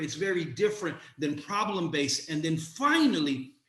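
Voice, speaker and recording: With a passionate tone, a man speaks at a moderate pace amid noticeable background noise and audible room echo. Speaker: community organizer and educator. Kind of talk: panel presentation.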